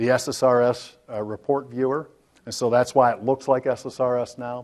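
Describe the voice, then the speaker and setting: A man at a medium pitch. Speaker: software product presenter. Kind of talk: conference demo presentation. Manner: fast; halting.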